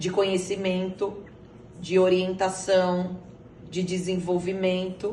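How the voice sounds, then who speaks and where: A woman at medium pitch, monotone and flat, very slow with long, frequent pauses, amid noticeable background noise and audible room echo. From Brazil, São Paulo. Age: 40s. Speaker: interviewee, mother. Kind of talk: interview. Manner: halting, with many fillers.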